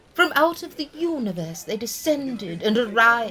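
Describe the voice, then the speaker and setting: Through noticeable background noise, a woman with a fairly high pitch speaks at a fairly slow pace. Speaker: eccentric crystal shop owner (character). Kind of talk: scripted comedy audio drama. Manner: whimsical, mystical, dreamy.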